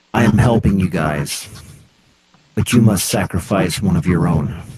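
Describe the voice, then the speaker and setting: Pitched very deep and low, a man's voice takes on a put-on character. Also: moderate pace. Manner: eerie, demanding.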